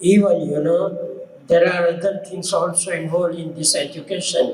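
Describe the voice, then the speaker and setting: Noticeable background noise mixes with audible room echo in this recording. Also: man. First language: not English. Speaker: audience member. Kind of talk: audience comment. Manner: halting.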